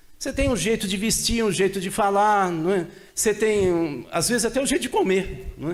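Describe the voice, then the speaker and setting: A man speaks at a high pitch and a moderate pace with lively intonation. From interior of São Paulo state, Brazil (Tupã, near Marília). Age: 60s. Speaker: political scientist. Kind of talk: seminar talk. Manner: casual conversational.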